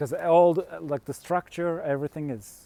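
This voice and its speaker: A man speaks with a Turkish accent at a moderate pace. His tone is dark and mellow. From Turkey. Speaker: fasting vlogger. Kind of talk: casual vlog monologue. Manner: halting, many fillers.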